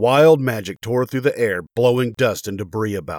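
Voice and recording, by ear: A passage is read aloud in a natural voice whose pitch shifts by ordinary amounts.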